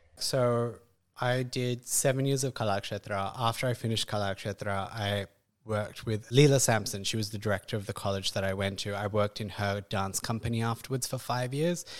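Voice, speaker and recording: Speaking with an Australian accent, a man of medium pitch keeps a fairly even intonation in a very clean recording with a silent background. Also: fairly quick pace. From Perth, Western Australia. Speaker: classical dancer. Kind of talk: casual interview. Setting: in person with host, studio.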